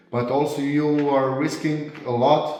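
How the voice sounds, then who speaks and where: With music in the background and audible room echo, a man speaks in a Croatian accent. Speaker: car tuner and garage owner. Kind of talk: vlog review. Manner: halting.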